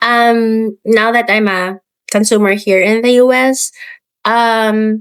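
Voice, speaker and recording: A woman with a Filipino accent, fairly high in pitch, at a very slow pace with monotone, flat intonation. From Philippines. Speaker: business founder. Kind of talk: podcast interview. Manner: hesitant with fillers.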